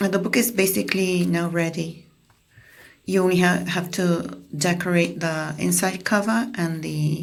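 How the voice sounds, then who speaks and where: Woman's medium-pitched voice at a fairly slow pace, with audible room echo. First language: Spanish. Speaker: craft tutorial creator. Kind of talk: tutorial voiceover. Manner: halting, with repetitions and fillers.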